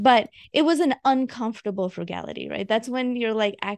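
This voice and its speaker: In an unremarkable speaking voice with an American accent, the speaker goes at a moderate pace with ordinary pitch variation, in a dry, close sound with no echo. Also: woman. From India, then Georgia (US South). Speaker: physician and personal finance writer. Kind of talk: interview conversation.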